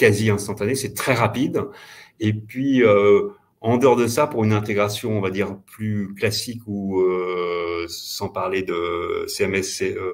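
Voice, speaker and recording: At a very slow pace, a man with a fairly low pitch speaks with fairly even intonation. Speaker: payment company representative. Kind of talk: webinar presentation and Q&A.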